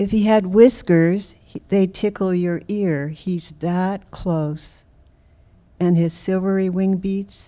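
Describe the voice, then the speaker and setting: A woman with a fairly low pitch, a dark, mellow tone and fairly even intonation is heard on a very clean recording with a silent background. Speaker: poet. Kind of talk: poetry reading. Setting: stage with audience. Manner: soft-spoken.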